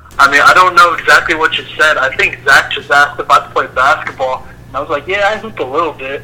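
With noticeable background noise, a man with an American accent talks at a very fast pace with hardly any pauses. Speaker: college student. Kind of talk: casual chat.

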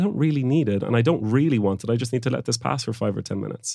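Talking at a very fast pace, a man with a medium-pitched voice is heard on a very clean recording with a silent background. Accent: Irish. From Ireland (Galway, Oranmore). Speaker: founder of a focus coaching company. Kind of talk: interview.

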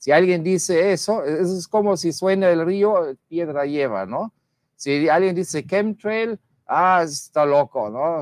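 A man's high-pitched voice at a very slow pace, lively in intonation, with a dry, close sound and no echo. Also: quiet background. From Germany. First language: German (speaking Spanish). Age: 50s. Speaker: guest commentator. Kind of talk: casual debate.

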